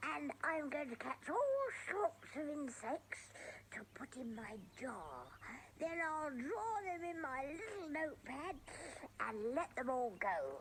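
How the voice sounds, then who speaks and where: A put-on character voice, high-pitched with a gentle, cheerful tone, goes at a fairly slow pace over clear background noise. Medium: audio drama.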